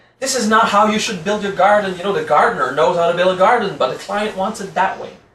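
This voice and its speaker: Audible room echo hangs around the voice of a man as he talks. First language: French. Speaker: spiritual teacher. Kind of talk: lecture. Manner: casual, conversational.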